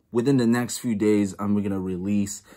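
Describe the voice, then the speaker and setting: Against a quiet background, a man with a fairly low pitch speaks in a normal speaking voice with fairly even intonation. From United States, born in El Salvador. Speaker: sports YouTuber. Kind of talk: casual vlog show-and-tell. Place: home room. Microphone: phone near.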